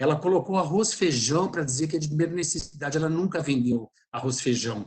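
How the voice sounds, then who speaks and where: A man with a fairly high pitch talks fairly quickly, his pitch varying in an ordinary way. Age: 60s. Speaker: textile company fashion expert. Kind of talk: webinar panel discussion. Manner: animated.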